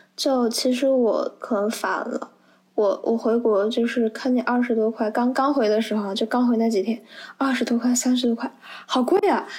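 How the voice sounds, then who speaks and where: A woman talks at a moderate pace with a high pitch, fairly even intonation and very even loudness. Noticeable background noise runs underneath. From Anhui, China. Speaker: university student. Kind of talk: casual chat.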